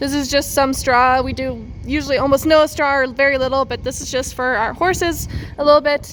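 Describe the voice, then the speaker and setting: A woman speaks in a high voice with a western Canadian accent. Her intonation stays flat and monotone over noticeable background noise. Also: fairly quick pace. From Canada, central Alberta. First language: German. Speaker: farmer. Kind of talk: farm tour vlog.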